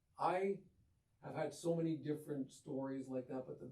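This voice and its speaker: This man's voice has a dark, mellow tone and is somewhat breathy, moving at a moderate pace. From Windsor, Ontario, Canada. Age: 60s. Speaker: clothing store co-owner. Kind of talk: interview. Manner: animated.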